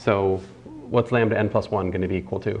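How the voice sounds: A man speaks at a moderate pace in a slightly mellow tone. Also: fairly low pitch for a man, fairly even intonation.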